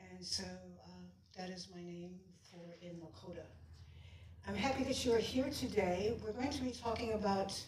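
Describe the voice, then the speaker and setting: A woman speaks with ordinary pitch variation, and room echo can be heard. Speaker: shaman and healer giving a talk. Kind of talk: lecture. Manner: halting.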